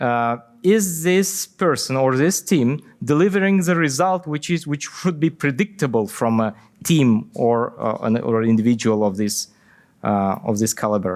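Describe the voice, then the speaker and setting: Heard in a very clean recording with a silent background, a man with a non-native accent shows very wide pitch swings. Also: medium pitch for a man, moderate pace. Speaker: software company CTO and conference speaker. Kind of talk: conference Q&A. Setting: conference stage with audience. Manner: halting, many fillers and repetitions.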